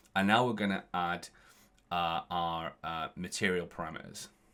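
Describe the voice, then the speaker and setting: A man mumbling on a very clean recording with a silent background. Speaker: visual effects artist teaching Unreal Engine. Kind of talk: tutorial. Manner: halting, many restarts.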